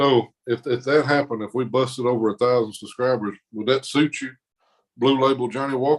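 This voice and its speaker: This man talks at a fairly quick pace with a strong Southern US accent. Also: medium pitch for a man, fairly even intonation. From Mississippi, US South. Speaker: arm wrestler. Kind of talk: casual chat.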